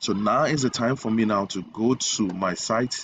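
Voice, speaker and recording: A man talks in a plain, everyday voice at a fairly low pitch. His intonation stays fairly even. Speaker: web design tutor. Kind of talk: tutorial.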